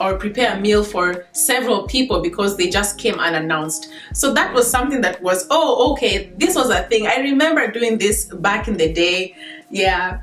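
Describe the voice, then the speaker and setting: A woman's medium-pitched voice at a moderate pace, with lively intonation and noticeable background noise. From Kenya. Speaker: vlogger. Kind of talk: casual talk to camera.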